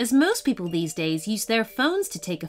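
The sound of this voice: Here we hear an unforced reading voice.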